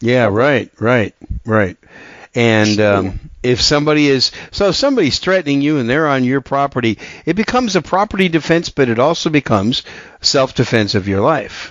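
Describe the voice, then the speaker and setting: A man with a plain, everyday voice speaks at a moderate pace and medium pitch, his intonation lively and his loudness very even. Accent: American. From Wisconsin. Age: 50s. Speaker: podcast host. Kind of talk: casual interview; solo monologue.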